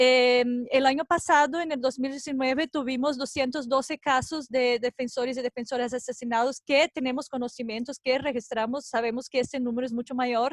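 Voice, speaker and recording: With a non-native accent, a woman speaks at a moderate pace in a high, monotone voice with flat intonation and hardly any pauses, the sound dry and close with no echo. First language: not Spanish (speaking Spanish). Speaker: NGO researcher. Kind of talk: conference presentation. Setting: video call. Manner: halting.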